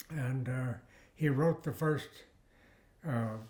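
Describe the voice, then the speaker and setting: A man's voice comes out somewhat breathy. His intonation stays fairly even. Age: 90s. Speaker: retired botany professor. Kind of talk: interview. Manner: halting.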